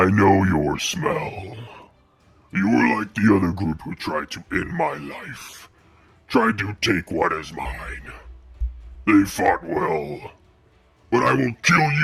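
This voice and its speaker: A raspy put-on character voice from a man, fairly low-pitched and fairly slow, with long, frequent pauses and music in the background. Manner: menacing, threatening.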